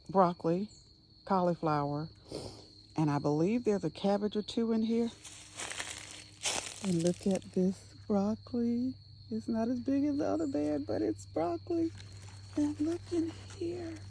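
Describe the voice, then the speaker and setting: Over noticeable background noise, a woman with a fairly low pitch speaks at a moderate pace, with very wide pitch swings and long, frequent pauses. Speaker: homesteader. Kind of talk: casual garden tour vlog. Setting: outdoors in garden. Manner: animated; whispering at times.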